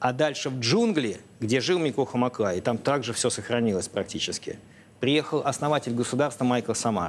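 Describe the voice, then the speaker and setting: Over light background noise, a man talks at a moderate pace in a medium pitch with ordinary pitch variation. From Russia. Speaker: foundation director and researcher. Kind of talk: TV interview. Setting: TV studio. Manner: hesitant, with frequent filler sounds. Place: studio. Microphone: lapel.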